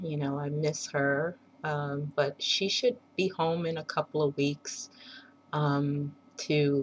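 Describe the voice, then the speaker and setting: This woman's voice is very deep. Her pitch sits low. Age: 40s. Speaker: video blogger, mother. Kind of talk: casual personal video diary. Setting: at home. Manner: rambling, hesitant with many fillers.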